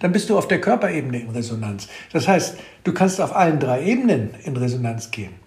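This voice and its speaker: A man talks at a moderate pace with very wide pitch swings. The recording carries audible room echo and noticeable background noise. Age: 70s. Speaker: author and plant expert. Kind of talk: casual conversation. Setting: at his farm. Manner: halting, many fillers.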